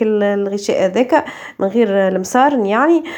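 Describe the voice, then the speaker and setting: Speaking with a Tunisian accent, a woman has a dark, mellow tone and a moderate pace. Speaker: cooking youtuber. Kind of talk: cooking vlog. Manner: casual, hesitant with fillers.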